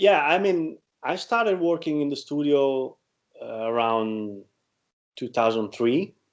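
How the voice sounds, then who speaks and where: Pausing long and often, a man with an Italian accent speaks with very wide pitch swings. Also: fairly high pitch for a man, fairly slow pace. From Italy. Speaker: guitarist and producer. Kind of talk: interview. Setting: video call. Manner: halting.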